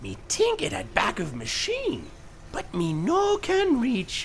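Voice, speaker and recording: A man performs a cartoonish character voice over clear background noise. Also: fairly slow pace. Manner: broken caveman-like grammar, says 'me' for I.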